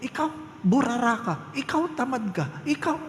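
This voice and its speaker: A put-on character voice, female-sounding and high-pitched, with very wide pitch swings, a fairly slow pace, a slight echo and clear background noise. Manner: angry, scolding.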